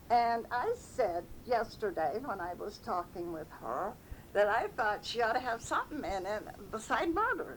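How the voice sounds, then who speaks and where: With an American accent, a woman speaks at a fairly slow pace in a fairly high pitch, her voice making very wide pitch swings over noticeable background noise. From upstate New York, Petersburgh. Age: 80s+. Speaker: oral history interviewee. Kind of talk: oral history reminiscence.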